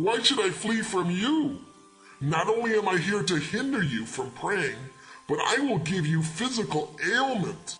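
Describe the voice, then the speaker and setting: A man speaks in a put-on character voice pitched high, at a moderate pace, with clear music in the background. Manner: dreary.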